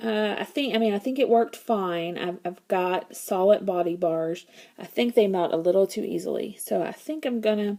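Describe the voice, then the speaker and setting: A woman's medium-pitched voice, dark and mellow in tone, with ordinary pitch variation and hardly any pauses. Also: moderate pace. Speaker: crafter demonstrating homemade lotion bars. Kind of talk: casual tutorial / show-and-tell. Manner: halting, with many fillers.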